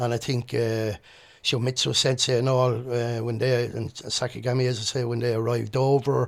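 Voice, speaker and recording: In a Birmingham accent, the speaker keeps a monotone, flat intonation at a moderate pace. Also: man, medium pitch for a man. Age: 60s. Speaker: martial arts instructor and former doorman. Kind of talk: interview. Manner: halting.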